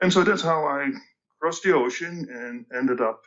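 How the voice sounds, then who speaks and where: The speaker is a man, and he has a Dutch accent. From Netherlands, Amsterdam. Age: 60s. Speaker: tech company executive. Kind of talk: podcast interview. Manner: halting, many fillers.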